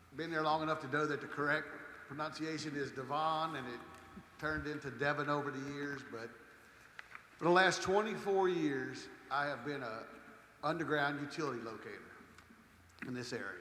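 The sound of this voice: A man talks at a moderate pace in a fairly high pitch with ordinary pitch variation. His tone is bright and sharp, and the room echo is strong.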